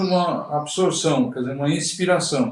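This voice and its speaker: A man speaks at a moderate pace, his pitch high. His voice shows ordinary pitch variation. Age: 60s. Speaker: swimming instructor. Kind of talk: interview. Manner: halting.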